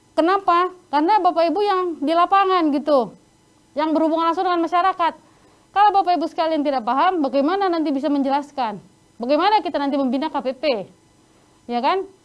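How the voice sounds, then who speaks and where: A woman speaks with an extremely high pitch. Her pace is very fast and her pitch variation ordinary. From North Sumatra, Indonesia. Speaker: sanitation trainer. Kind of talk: online training lecture.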